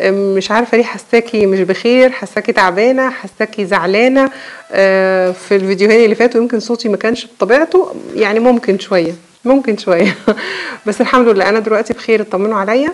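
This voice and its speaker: A woman talks at a fairly quick pace with a fairly high pitch and ordinary pitch variation. Noticeable background noise runs underneath. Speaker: cooking YouTuber. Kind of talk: casual vlog talk to viewers. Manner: halting, many fillers and restarts.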